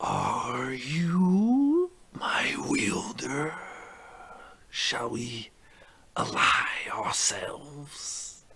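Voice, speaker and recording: A raspy, middle-pitched put-on character voice at a very slow pace, with long, frequent pauses. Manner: echoing, otherworldly.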